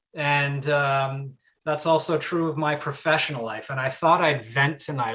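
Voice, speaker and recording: On a very clean recording with a silent background, a man speaks at a moderate pace in a fairly high voice with a bright, sharp tone. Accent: Canadian. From Canada (Ontario). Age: 30s. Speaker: palaeontologist. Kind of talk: public lecture. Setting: live-streamed video talk. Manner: hesitant, many fillers.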